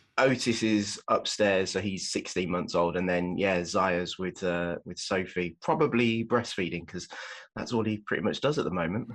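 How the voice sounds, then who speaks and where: Against a quiet background, a man with a very deep, low voice talks at a moderate pace with ordinary pitch variation. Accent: slight Birmingham. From England, Birmingham. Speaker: parenting blogger and father. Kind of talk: casual chat. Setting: at home, in basement, remote call.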